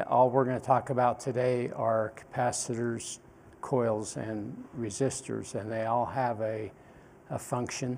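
A man speaks at a fairly slow pace in a monotone, flat intonation. Light background noise sits behind him. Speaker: instructor. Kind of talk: lecture. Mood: relaxed, informal. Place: classroom. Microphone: lapel.

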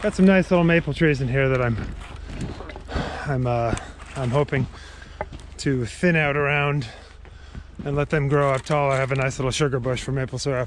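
Fairly quick speech from a man, with fairly even intonation, a dry sound with no echo, and light background noise. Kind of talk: casual vlog chat. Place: forest. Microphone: phone near.

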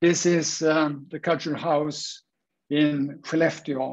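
With a Swedish accent, a man speaks at a fairly high pitch in monotone, flat intonation. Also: quiet background. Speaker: structural engineer, wood industry innovation head; panelist. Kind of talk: presentation. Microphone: webcam.

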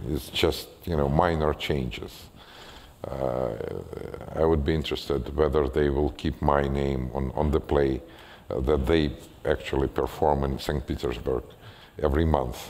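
In a Russian accent, a man with a very deep, low pitch talks at a fairly slow pace, his intonation monotone and flat, broken by long, frequent pauses. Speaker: writer and former physician. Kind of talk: public conversation with audience Q&A. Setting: stage with audience. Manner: halting. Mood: light, slightly amused. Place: stage.

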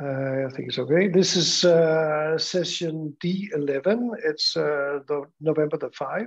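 With a quiet background, a man of fairly high pitch speaks fairly slowly with ordinary pitch variation. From Denmark. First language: Danish. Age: 60s. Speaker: school principal. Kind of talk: conference presentation. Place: home room. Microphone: earbuds.

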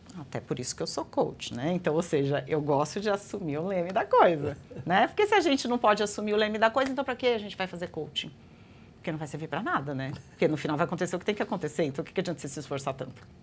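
Very wide pitch swings run through this woman's speech. She talks at a very fast pace. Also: fairly low pitch for a woman. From Brazil, Guarujá (São Paulo state). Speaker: astrologer and holistic therapist. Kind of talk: interview conversation.

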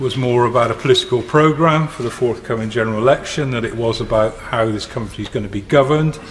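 A man talks with a British accent. Light background noise can be heard. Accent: British English, formal. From England. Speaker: member of parliament. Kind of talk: parliamentary speech. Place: hall. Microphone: podium.

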